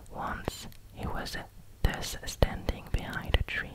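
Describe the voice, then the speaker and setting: The voice is a whisper, very slow in pace. Noticeable background noise can be heard throughout. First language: French. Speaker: ASMR creator. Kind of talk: ASMR fairy tale reading. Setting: close microphone, studio. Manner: whispered.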